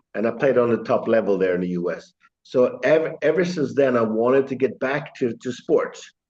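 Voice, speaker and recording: A man with a Swedish accent speaks at a fairly quick pace, his medium-pitched voice carrying lively intonation. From Sweden. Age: 60s. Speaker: chiropractor. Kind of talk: interview. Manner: halting.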